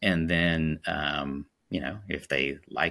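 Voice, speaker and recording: A bright, sharp tone with vocal fry comes through on a very clean recording with a silent background. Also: man. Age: 40s. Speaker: sales executive. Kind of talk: interview.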